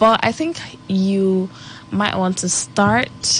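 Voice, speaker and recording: A somewhat breathy woman's voice at medium pitch, with ordinary pitch variation. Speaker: radio show host. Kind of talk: radio talk show monologue. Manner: casual, chatty.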